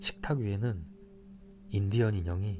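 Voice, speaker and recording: Over noticeable background noise, a man speaks at a fairly slow pace. His tone is calm. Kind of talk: audiobook reading of a mystery novel. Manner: calm, soft-spoken.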